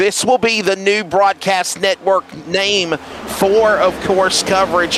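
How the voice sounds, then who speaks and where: An American accent marks this man's speech at a fairly slow pace. Noticeable background noise runs behind him. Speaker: sim racing commentator. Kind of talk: live commentary. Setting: online broadcast booth.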